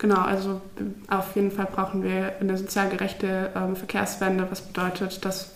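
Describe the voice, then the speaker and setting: A woman speaks at a moderate pace and medium pitch, with audible room echo and noticeable background noise. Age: 20s. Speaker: climate activist, psychology student. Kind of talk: casual interview.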